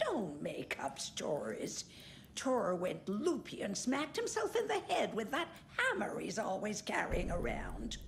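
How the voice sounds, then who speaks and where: Over clear background noise, a woman does a put-on character voice at a fairly slow pace. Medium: video game. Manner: tart, gossipy.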